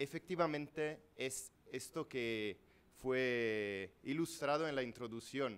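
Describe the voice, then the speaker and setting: A man with a non-native accent, speaking at a very slow pace with lively intonation. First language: Italian (speaking Spanish). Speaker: law professor. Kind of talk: lecture. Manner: reading aloud; halting.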